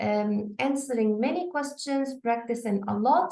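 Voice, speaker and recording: A dark, mellow tone at a fairly slow pace, with ordinary pitch variation and audible room echo. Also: woman. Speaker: test prep teacher. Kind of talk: online lesson. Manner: halting.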